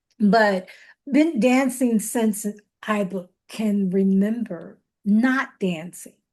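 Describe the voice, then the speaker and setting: A woman talks at a very slow pace with a fairly high pitch. Her voice is somewhat breathy. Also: ordinary pitch variation. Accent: Southern US. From Chicago, south side. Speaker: dance scholar. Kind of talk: podcast interview. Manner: halting.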